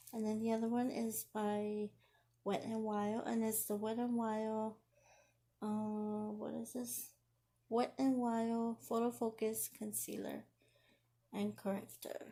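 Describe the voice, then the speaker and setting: A woman's very slow, somewhat breathy speech, fairly high in pitch with a dark, mellow tone, monotone and flat, broken by long, frequent pauses. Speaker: beauty vlogger. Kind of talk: makeup tutorial.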